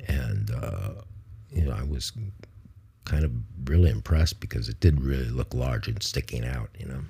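Speaking with an American accent, a man uses a very deep, low pitch with vocal fry and lively intonation, leaving long, frequent pauses. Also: moderate pace. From US Midwest (Ohio). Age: 70s. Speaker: podcaster. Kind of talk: autobiographical monologue. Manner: halting.

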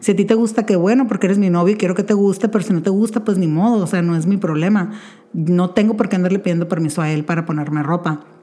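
Against noticeable background noise, a woman talks very fast at medium pitch, with ordinary pitch variation. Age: 30s. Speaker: podcast host. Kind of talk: casual monologue.

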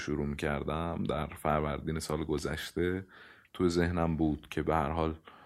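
A man speaks at a moderate pace in a very deep, low voice, recorded very cleanly against a silent background. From Iran. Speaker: podcast host. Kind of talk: casual chat.

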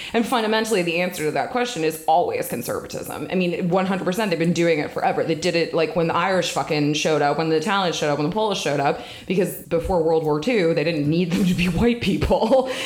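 Amid noticeable background noise and audible room echo, a woman with an American accent speaks at a very fast pace with hardly any pauses, at fairly low pitch, with ordinary pitch variation and very even loudness. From Washington DC area (Northern Virginia). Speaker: political organizer, former baker. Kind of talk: casual chat.

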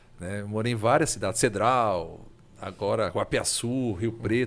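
At a fairly slow pace, a man's voice comes out fairly low in pitch. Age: 40s. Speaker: video game collector. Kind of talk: casual chat.

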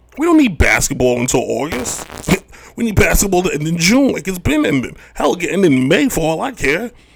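A high-pitched man at a fairly quick pace, with very wide pitch swings and noticeable background noise. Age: 30s. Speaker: sports podcast host. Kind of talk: solo podcast monologue. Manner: animated.

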